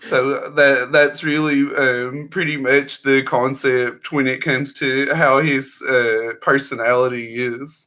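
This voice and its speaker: The voice is bright and sharp, with a monotone, flat intonation. It goes at a very slow pace with hardly any pauses. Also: man, fairly high pitch for a man. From US South. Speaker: indie comic creator. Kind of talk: interview.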